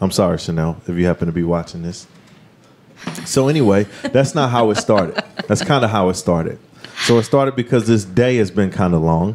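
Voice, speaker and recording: Noticeable background noise runs under this man's voice. His pitch is fairly low, his pace fairly quick and his intonation lively. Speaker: podcast host. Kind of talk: casual chat. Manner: loud; animated.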